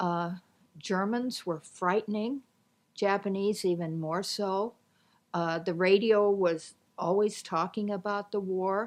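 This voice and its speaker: A woman with a US Midwestern accent, medium pitch, fairly even intonation and a very slow pace. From Nebraska, Omaha. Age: 70s. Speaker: retiree recounting life story. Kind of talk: interview reminiscence.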